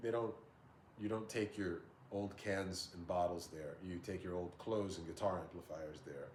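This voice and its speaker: A man's voice with audible room echo. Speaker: guitar YouTuber. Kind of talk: casual vlog talk.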